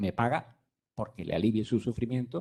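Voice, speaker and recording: Somewhat breathy, a man's medium-pitched voice has a dark, mellow tone and ordinary pitch variation. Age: 60s. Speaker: physician. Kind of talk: lecture. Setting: conference room, streamed online.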